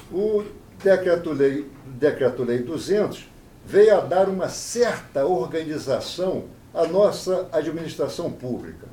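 The speech moves at a very slow pace, and audible room echo surrounds it. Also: man, high pitch for a man, ordinary pitch variation. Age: 70s. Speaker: appellate judge. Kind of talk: interview.

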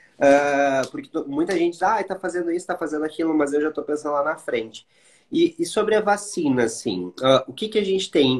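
Moderate pace and ordinary pitch variation from a man with a high pitch. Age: 30s. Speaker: HIV content creator and live host. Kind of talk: casual interview livestream.

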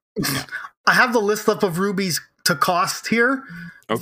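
A man's raised, projected voice, high in pitch, with lively intonation at a moderate pace. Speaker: podcast host. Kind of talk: casual banter, comedy podcast.

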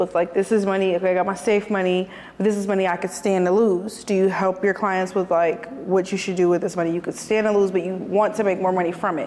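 A woman's monotone, flat voice over noticeable background noise. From Detroit, east side. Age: 20s. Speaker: podcast host. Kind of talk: casual interview.

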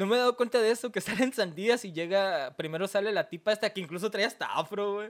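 In a very clean recording with a silent background, a high-pitched man talks at a very fast pace with hardly any pauses and ordinary pitch variation. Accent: Mexican. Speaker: anime podcast co-host. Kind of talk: casual chat.

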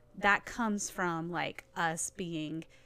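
Monotone, flat intonation in a Southern US accent. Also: woman. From Nashville, Tennessee. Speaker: church staff member and nonprofit leader. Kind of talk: casual chat. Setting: studio.

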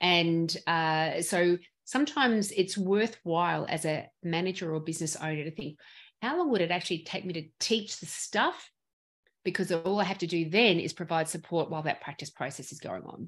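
A woman's fairly low voice with an Australian accent, at a moderate pace, with ordinary pitch variation and big swings in loudness, against a quiet background. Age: 50s. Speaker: dental practice consultant. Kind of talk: interview.

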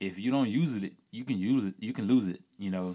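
A man speaks with a Louisiana accent. His pace is fairly slow. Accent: Louisiana Southern US. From rural Louisiana. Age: 30s. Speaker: cyclist. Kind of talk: casual chat.

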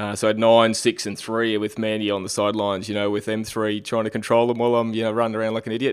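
Over a silent background in a very clean recording, a man with an Australian accent talks at a very fast pace in a fairly low, flat monotone. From Australia, Queensland (Caboolture). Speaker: Ironman triathlete. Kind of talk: casual interview.

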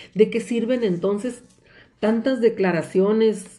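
A woman's dark, mellow voice at a fairly slow pace, with ordinary pitch variation. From Mexicali Valley, Baja California, Mexico. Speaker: lawyer and teacher. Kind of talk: interview on women's rights.

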